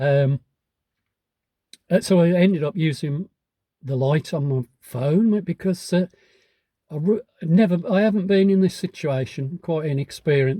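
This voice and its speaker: A man speaks at a fairly slow pace with long, frequent pauses, a high pitch and ordinary pitch variation. His tone is dark and mellow, and the sound is dry and close with no echo. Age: 70s. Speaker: hiking vlogger. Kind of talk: casual vlog monologue. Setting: in a pub. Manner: halting.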